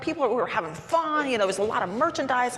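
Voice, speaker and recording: An animated woman's voice with very wide pitch swings, audible room echo and noticeable background noise. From Wyoming. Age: 60s. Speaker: business executive. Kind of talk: onstage interview.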